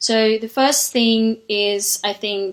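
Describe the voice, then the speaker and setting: A woman with a non-native accent, music in the background. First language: not English. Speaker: spiritual intuitive healer. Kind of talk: casual monologue vlog. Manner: hesitant, many fillers.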